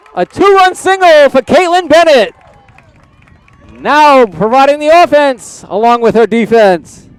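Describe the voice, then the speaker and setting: Against crowd noise in the background, a man with an American accent speaks at a fairly slow pace with an extremely high pitch and very wide pitch swings, in a dry, close sound with no echo. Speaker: play-by-play sports commentator. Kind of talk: live commentary.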